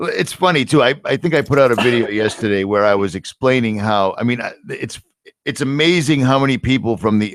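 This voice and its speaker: A man talks at a fairly quick pace in a Boston accent, with a medium pitch. His tone is animated, with ordinary pitch variation. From US Northeast, Boston. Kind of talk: casual chat. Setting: live stream.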